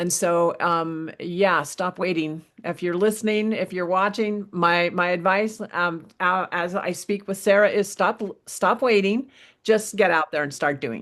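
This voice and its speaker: In an ordinary speaking voice, a woman talks at a fairly slow pace with a medium pitch and ordinary pitch variation against a quiet background. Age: 60s. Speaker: podcast host. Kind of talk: interview conversation.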